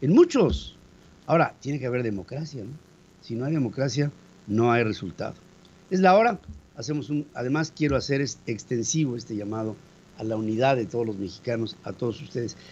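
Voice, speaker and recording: A fairly quick pace broken by long, frequent pauses, with ordinary pitch variation. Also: man, medium pitch for a man. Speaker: radio news host. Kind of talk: news commentary.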